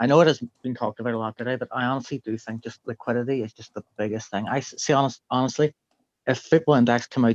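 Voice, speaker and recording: Very fast and in an Irish accent, a man speaks at medium pitch with fairly even intonation, the sound dry and close with no echo over a quiet background. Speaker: participant in a trading community chat. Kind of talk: casual live stream chat.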